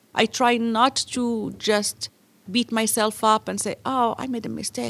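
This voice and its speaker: Her voice is high in pitch. The sound is dry and close, with no echo. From Morocco. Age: 40s. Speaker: translation business owner. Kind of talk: interview.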